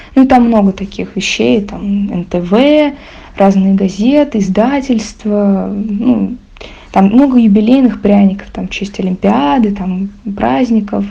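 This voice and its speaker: With noticeable background noise behind her, a woman talks at a very slow pace using lively intonation. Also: medium pitch for a woman. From Moscow. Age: young. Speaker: contributor sharing a story. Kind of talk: recorded voice message story.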